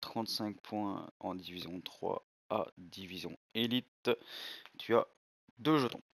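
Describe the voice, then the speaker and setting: The pace is very slow, broken by long, frequent pauses. Loudness swings widely, and the sound is dry and close with no echo. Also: man, medium pitch for a man, ordinary pitch variation. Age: 20s. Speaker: gaming youtuber. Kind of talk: gameplay commentary video. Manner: hesitant, filler-heavy.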